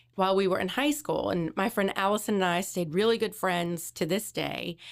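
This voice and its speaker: A woman with an American accent talks at a fairly quick pace and medium pitch, with ordinary pitch variation and vocal fry. Her loudness stays very even in a very clean recording with a silent background. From New Orleans, US South. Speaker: clinical social worker, therapist. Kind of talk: casual interview.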